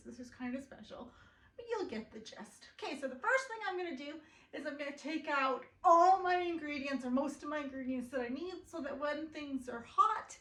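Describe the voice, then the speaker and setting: In a room with audible echo, a woman with a high, bright and sharp voice talks at a moderate pace with very wide pitch swings. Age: 30s. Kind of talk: casual cooking vlog. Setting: home kitchen.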